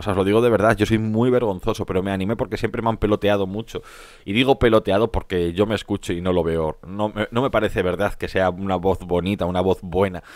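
A man's fairly low voice at a very fast pace with fairly even intonation. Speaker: gaming youtuber. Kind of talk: reading and answering viewer comments.

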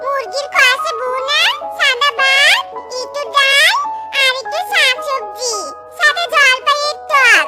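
In a cartoonish character voice, the speaker goes slowly with few pauses and ordinary pitch variation. The tone is bright and sharp, and faint music plays in the background.

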